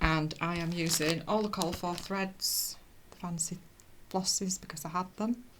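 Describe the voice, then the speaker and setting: Over noticeable background noise, a woman speaks fairly slowly with fairly even intonation. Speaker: cross stitch vlogger. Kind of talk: casual chat. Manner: halting.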